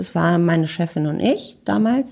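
A woman talks at a moderate pace with a medium pitch. Her pitch rises and falls in an ordinary way. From Freiburg, southwestern Germany. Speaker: agency co-founder and CEO. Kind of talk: casual interview. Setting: in person at a PR agency office.

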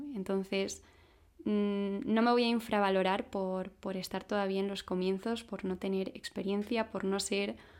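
Her voice is a plain, everyday voice, medium in pitch with fairly even intonation at a moderate pace. The woman is recorded very cleanly against a silent background. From Spain (Madrid). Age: 20s. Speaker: podcaster. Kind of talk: personal reflective monologue.

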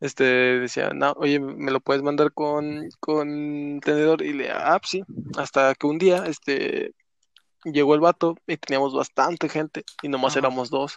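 Dry and close with no echo, the recording has a man with a Mexican accent speaking fairly slowly in a fairly high, monotone, flat voice. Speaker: podcast co-host. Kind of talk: casual chat.

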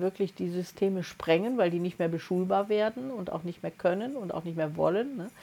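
Her tone dark and mellow, a woman speaks at a medium pitch with ordinary pitch variation. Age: 60s. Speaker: podcast co-host, energy coach. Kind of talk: casual chat.

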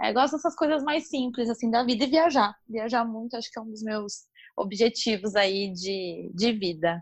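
At a moderate pace comes a plain, everyday voice. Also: woman. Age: 30s. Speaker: marketing professional. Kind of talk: casual interview.

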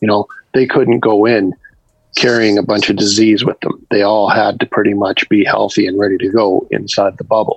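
A man speaks at a fairly low pitch and a moderate pace. His intonation is monotone and flat, in a dry, close sound with no echo. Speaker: sports writer. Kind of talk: interview.

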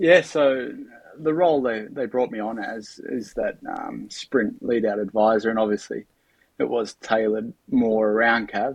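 A man talks with an Australian accent. His pace is fairly slow. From Australia, Bathurst NSW. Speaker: cycling sprint advisor and former pro cyclist. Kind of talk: casual interview.

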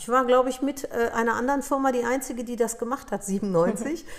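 Over noticeable background noise, a woman speaks at a high pitch and a fairly quick pace. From Upper Silesia, Poland; raised in Germany from 1963. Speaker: dental practice consultant and entrepreneur. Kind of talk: interview.

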